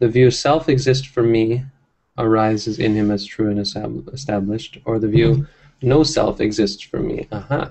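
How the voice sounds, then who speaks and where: A man of medium pitch talks at a moderate pace, somewhat breathy, with ordinary pitch variation. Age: 30s. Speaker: Buddhist monk leading scripture study. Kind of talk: text study discussion. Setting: monastery, livestreamed. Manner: hesitant with fillers.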